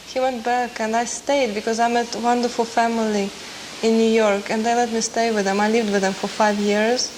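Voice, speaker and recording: Fairly high-pitched, a woman talks at a fairly quick pace in monotone, flat intonation. Noticeable background noise sits behind her. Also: very even loudness. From Russia, Moscow. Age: 20s. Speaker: concert pianist. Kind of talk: interview.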